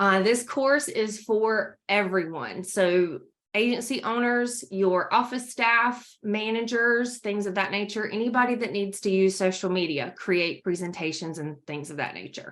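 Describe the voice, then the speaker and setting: In a North Carolina accent, the speaker goes at a fairly slow pace with hardly any pauses and ordinary pitch variation. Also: woman, medium pitch for a woman. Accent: Southern US (North Carolina). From US South, North Carolina. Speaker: trainer presenting courses. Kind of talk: corporate presentation. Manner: animated.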